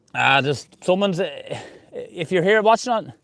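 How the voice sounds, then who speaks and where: With an Irish accent, a man speaks with lively intonation against a quiet background. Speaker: golf live streamer. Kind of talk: live commentary. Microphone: new fancy mic.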